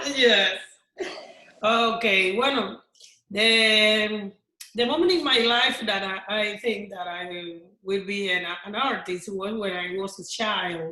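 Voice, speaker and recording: A woman speaks at a very slow pace with long, frequent pauses, a medium pitch and ordinary pitch variation. Her voice has a non-native accent, and audible room echo surrounds it. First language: Spanish. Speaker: actress and singer. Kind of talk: panel discussion. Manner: halting.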